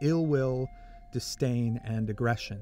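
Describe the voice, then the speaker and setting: Over music in the background, a man with a medium-pitched voice speaks at a fairly slow pace with ordinary pitch variation. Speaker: audiobook narrator, voice actor. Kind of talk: nonfiction self-help audiobook narration.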